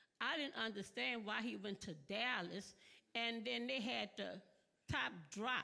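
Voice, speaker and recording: A woman's vocal fry at a fairly slow pace. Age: 70s. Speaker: audience member asking a question. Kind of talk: audience question at conference. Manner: halting, repetitive.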